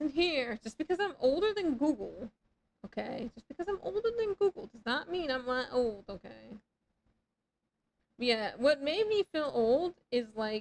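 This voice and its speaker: A woman speaks slowly-ish in a high voice, with very wide pitch swings and big swings in loudness. The sound is dry and close, with no echo. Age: 30s. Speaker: video game streamer. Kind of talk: live stream chat. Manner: animated.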